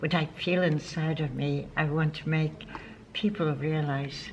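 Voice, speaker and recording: Noticeable background noise fills the recording. The talking proceeds at a moderate pace. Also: woman. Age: 80s+. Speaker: yoga instructor. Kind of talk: interview answer.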